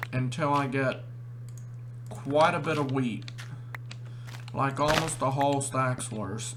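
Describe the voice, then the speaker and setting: Over noticeable background noise and audible room echo, a man talks fairly slowly at a medium pitch with monotone, flat intonation. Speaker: gaming youtuber. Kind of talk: gameplay commentary. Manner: stuttering.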